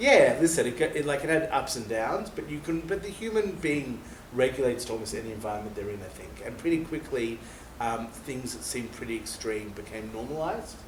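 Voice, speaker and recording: A man with an Australian accent talks at a fairly quick pace in a fairly high pitch, with very wide pitch swings and big swings in loudness, over noticeable background noise and audible room echo. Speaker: former soldier. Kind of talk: interview. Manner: casual.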